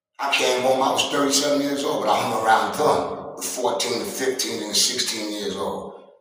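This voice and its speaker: There is noticeable background noise and audible room echo as a man speaks with an American accent. His pitch is medium with ordinary variation, and his pace is moderate. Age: 60s. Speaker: former prisoner giving advice. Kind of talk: interview.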